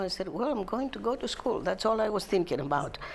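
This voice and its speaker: Here a woman speaks with a Greek accent. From Greece. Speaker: retirement community resident. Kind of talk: interview. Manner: halting.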